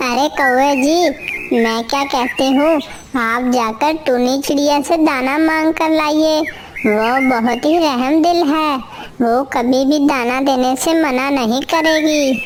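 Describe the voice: Against clear background noise, a cartoonish character voice that sounds female speaks high in pitch at a fairly slow pace.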